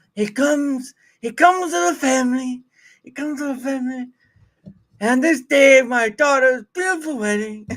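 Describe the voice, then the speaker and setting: A raised, projected put-on character voice, high-pitched and raspy, delivered at a moderate pace. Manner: mumbling.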